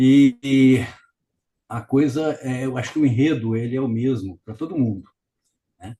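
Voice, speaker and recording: Slowish and dark, mellow in tone, a man's medium-pitched voice shows ordinary pitch variation and big swings in loudness while he keeps a fairly slow pace. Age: 70s. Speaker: family caregiver, retired civil engineer. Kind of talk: interview. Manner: halting.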